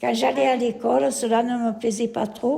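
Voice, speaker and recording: Noticeable background noise sits behind a woman's fairly high voice. She talks at a fairly slow pace. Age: 70s. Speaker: elderly writing workshop participant. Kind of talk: reading aloud own life story.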